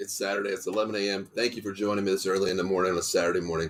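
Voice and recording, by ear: A man's very fast, low-pitched delivery with little pitch movement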